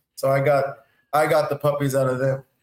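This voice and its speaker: A man's somewhat breathy voice. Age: 30s. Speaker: professional football player. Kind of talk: interview.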